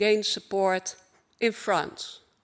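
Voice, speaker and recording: A woman talks at a very slow pace. She speaks with a Dutch accent. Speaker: LGBTI advocacy organization speaker. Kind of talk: conference keynote speech. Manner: formal.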